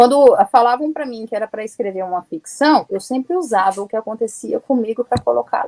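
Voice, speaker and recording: Dry and close with no echo, a woman's fairly high voice carries a dark, mellow tone and lively intonation. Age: 40s. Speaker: writer and publisher. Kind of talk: interview.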